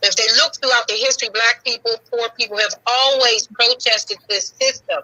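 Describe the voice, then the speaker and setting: A woman speaks with an unremarkable speaking voice at a fairly high pitch. Her pace is fairly quick and her intonation fairly even. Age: 60s. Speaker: caller. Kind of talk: call-in comment.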